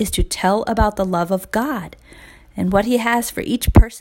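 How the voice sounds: This is a natural reading voice. Its pitch varies in an ordinary way.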